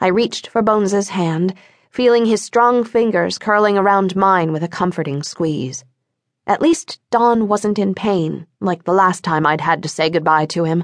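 A normal speaking voice with ordinary pitch variation at a moderate pace, over a quiet background. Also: woman, medium pitch for a woman. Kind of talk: audiobook narration of a first-person paranormal romance novel. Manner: emotive, measured storytelling; voices characters with feeling.

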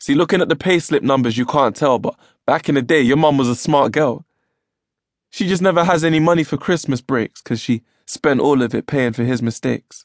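A man with a London accent, fairly high pitch and an animated tone, talking at a fairly quick pace with ordinary pitch variation in a dry, close sound with no echo and a quiet background. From London, England. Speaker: poet and audiobook narrator. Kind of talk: spoken word poetry performance. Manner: rhythmic, rhyme-driven delivery; animated, emotive, storytelling tone.

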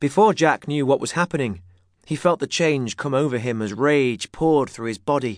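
A man with a plain, everyday voice and a fairly high pitch speaks at a moderate pace, in a dry, close sound with no echo and a quiet background. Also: lively intonation. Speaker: audiobook narrator. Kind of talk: scripted narration of a children's story, dramatic with character voices. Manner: swapping into gruff bully and shouting shopkeeper voices.

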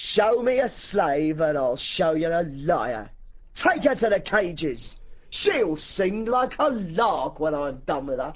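At a fairly slow pace, a put-on character voice at middle pitch plays over light background noise. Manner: sneering, menacing.

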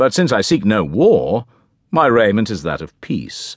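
Against a quiet background, a man with a fairly low, vocal-fried voice speaks very slowly in a dramatic tone with very wide pitch swings. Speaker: audiobook narrator. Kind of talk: scripted narration, audiobook reading of a medieval tale. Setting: studio. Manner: dramatic, formal, measured storytelling voice; shifts into character voices for the knight and king.

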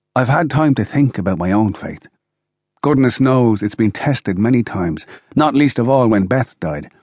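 A man at medium pitch with an Irish accent, lively intonation and a moderate pace. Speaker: audiobook narrator. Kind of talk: scripted audiobook narration in first person as a dying grandfather.

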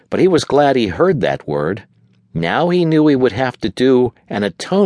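A natural voice reading aloud, with lively intonation

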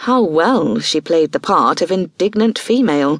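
Lively intonation over plain reading aloud

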